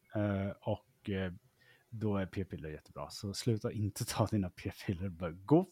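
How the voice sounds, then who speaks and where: On a very clean recording with a silent background and a dry, close sound with no echo, a man's fairly low-pitched, dark, mellow voice shows big swings in loudness. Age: 30s. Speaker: podcast host. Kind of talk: casual chat.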